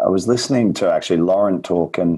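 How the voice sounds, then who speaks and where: With an Australian accent, a man speaks in a very deep, low voice with a dark, mellow tone and ordinary pitch variation. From rural New South Wales, Australia. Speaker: nutritionist. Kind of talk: casual interview chat. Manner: informative, clear explainer.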